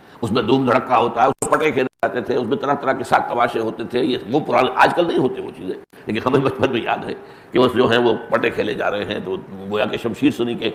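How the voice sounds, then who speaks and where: A man of medium pitch talks with ordinary pitch variation as noticeable background noise runs underneath. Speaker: Islamic scholar giving a lecture. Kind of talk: religious lecture (bayan).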